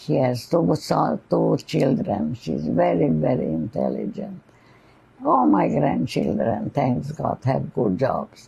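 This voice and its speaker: With vocal fry, a woman speaks at a very deep, low pitch. Her pace is very slow and her pitch swings very widely. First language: not English. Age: 90s. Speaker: Holocaust survivor. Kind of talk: oral history interview.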